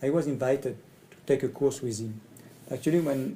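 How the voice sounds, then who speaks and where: Speaking in a French accent, a man has a somewhat breathy, dark, mellow tone at medium pitch with ordinary pitch variation. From France. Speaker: communication trainer. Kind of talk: personal presentation video. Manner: halting, hesitant in English.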